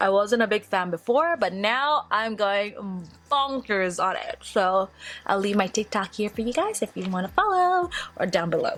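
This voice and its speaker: Fairly slow, lively woman's voice at a medium pitch on a very clean recording with a silent background. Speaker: beauty vlogger. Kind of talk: skincare tutorial. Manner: loud; animated.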